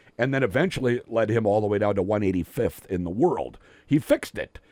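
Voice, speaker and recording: A man with a plain, everyday voice speaks with lively intonation at a moderate pace. The sound is dry and close, with no echo. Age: 50s. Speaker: radio sports host. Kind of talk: casual chat. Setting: studio.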